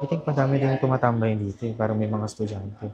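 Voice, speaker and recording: A soft-spoken voice at a fairly quick pace, fairly even intonation, and noticeable background noise. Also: man. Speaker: vlogger. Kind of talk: casual vlog talk. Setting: coffee shop.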